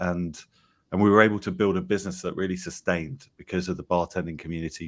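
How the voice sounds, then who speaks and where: In a very clean recording with a silent background, a man with an English accent speaks in a very deep, low pitch and fairly even intonation. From England. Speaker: company founder. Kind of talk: interview.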